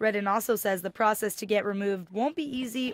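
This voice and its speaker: Noticeable background noise sits under the recording. A woman talks over it at a moderate pace. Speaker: television news reporter. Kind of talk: TV news reporter narration.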